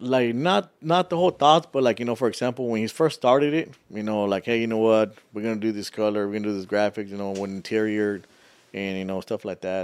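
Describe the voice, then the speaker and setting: A man's plain, everyday voice with an American accent, fairly low in pitch, at a fairly quick pace with ordinary pitch variation. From Texas. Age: 30s. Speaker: truck club owner. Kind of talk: casual interview.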